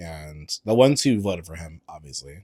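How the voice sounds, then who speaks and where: A man talks at a moderate pace, his pitch varying in an ordinary way. The recording is very clean and dry, with a close sound, no echo and a silent background. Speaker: podcast host. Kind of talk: casual monologue. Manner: halting.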